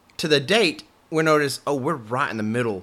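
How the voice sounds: Man with a Southern US accent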